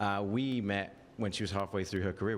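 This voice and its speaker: At a fairly quick pace, a man with a fairly low pitch and ordinary pitch variation talks amid audible room echo. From England. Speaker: former TV host and social media creator. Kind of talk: casual chat. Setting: live show at a bar stage.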